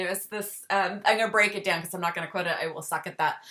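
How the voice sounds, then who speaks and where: The speech comes at a very fast pace. There is noticeable background noise. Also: woman. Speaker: chronic illness podcast host. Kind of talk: interview. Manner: halting.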